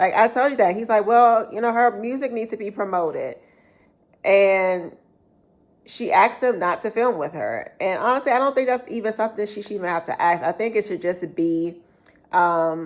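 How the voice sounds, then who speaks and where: The recording is very clean, with a silent background. A woman with a plain, everyday voice speaks at a moderate pace, her fairly high pitch showing ordinary variation. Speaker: YouTuber reviewing reality TV. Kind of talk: casual vlog review.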